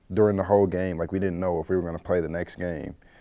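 A man with a very deep, low pitch and a dark, mellow tone, fairly even intonation, a Midwestern US accent, very clean recording and silent background. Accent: US Midwest. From Missouri, St. Louis. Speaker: college baseball player. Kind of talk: casual interview.

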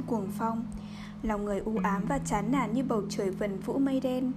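Music in the background accompanies a woman whose speech has ordinary pitch variation. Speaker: podcast narrator reading a novel aloud. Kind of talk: literary audiobook reading, measured narration with dialogue passages. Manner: steady, even storytelling pace, solemn and dramatic; soft and calming late-night tone.

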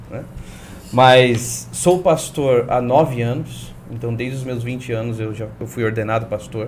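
A man speaks at medium pitch and a fairly slow pace. His loudness swings widely, and room echo is audible. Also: ordinary pitch variation. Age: 20s. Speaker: pastor. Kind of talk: testimony.

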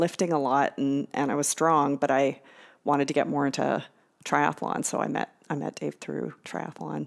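In a very clean recording with a silent background, a woman with a Canadian accent speaks at a very deep, low pitch, with vocal fry and monotone, flat intonation. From Canada, Victoria BC. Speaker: biology professor. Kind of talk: casual chat.

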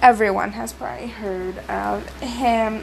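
A woman with an American accent speaks at a very slow pace, with audible room echo and noticeable background noise. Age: young. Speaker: podcaster and YouTuber. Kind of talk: solo commentary podcast. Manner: hesitant, with many fillers and repetitions.

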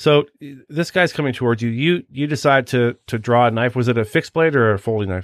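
A man speaks in a normal speaking voice with an American accent, at medium pitch with ordinary pitch variation. He goes at a fairly quick pace with hardly any pauses on a very clean recording with a silent background. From Washington DC area. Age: 50s. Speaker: podcast host, former federal agent. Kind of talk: casual interview chat.

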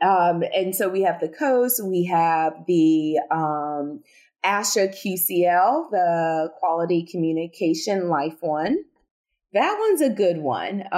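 Very slow female speech in a slight Southern US accent, with very even loudness and ordinary pitch variation. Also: fairly low pitch for a woman. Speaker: speech-language pathologist and researcher. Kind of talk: interview conversation about research and clinical practice.

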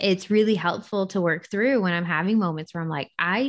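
A woman speaks in a normal speaking voice at a fairly low pitch with ordinary pitch variation. Her pace is moderate and the background is quiet. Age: 20s. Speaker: podcast co-host. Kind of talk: casual chat.

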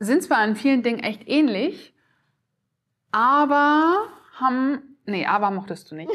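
The woman's intonation is lively. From northern Germany, Oldenburg. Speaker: emotion coach, co-host. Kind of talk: casual chat.

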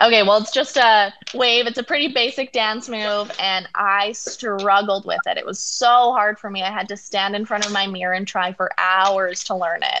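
With a Canadian accent, a woman speaks in an ordinary speaking voice at medium pitch and a moderate pace. Her intonation shows ordinary pitch variation, with hardly any pauses. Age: 20s. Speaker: dancer and actor. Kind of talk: interview.

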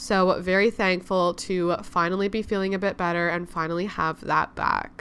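A woman speaks at a moderate pace with hardly any pauses, her medium-pitched voice held in a flat, monotone intonation. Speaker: podcast host. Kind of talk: casual chat.

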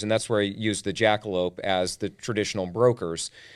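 A man with a fairly low pitch and ordinary pitch variation is heard on a very clean recording with a silent background. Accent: American. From US Pacific Northwest (Tacoma, Washington). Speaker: insurance benefits consultant and company founder. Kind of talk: casual interview.

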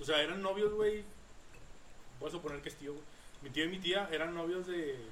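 With audible room echo and noticeable background noise, a man speaks at a high pitch and moderate pace, with long, frequent pauses and big swings in loudness. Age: 20s. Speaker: podcast host. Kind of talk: casual chat.

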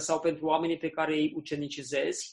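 Fairly high-pitched male voice. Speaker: interpreter. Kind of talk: sermon. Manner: halting.

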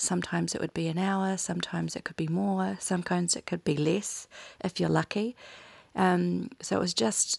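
A woman speaks with a New Zealand accent in a dry, close sound with no echo. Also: quiet background. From New Zealand (Bay of Plenty, Waikato). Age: 30s. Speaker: primary school teacher, podcast co-host. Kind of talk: casual podcast chat, personal story.

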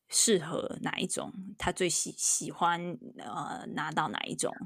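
A woman with a fairly low pitch and vocal fry is heard in a very clean recording with a silent background. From Taiwan. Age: middle-aged. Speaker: podcast host, university professor. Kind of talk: casual chat. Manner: halting, many fillers.

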